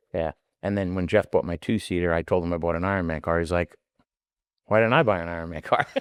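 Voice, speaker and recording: Very fast and with a strong New York accent, a man speaks in a very deep, low voice with fairly even intonation, the sound dry and close with no echo against a quiet background. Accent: thick New York. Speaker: rock crawling competitor. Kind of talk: casual chat.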